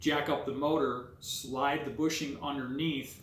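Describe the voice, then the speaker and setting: Amid noticeable background noise, a man talks at a medium pitch in a monotone, flat intonation. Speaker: car hobbyist video maker. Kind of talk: tutorial. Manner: casual, hesitant with filler words.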